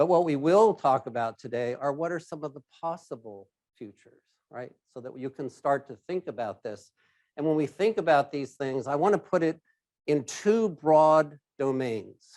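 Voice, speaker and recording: A loud man with a fairly high pitch and lively intonation, at a moderate pace, on a very clean recording with a silent background. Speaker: risk advisory executive, keynote speaker. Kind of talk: keynote presentation. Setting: stage with live audience, hybrid event.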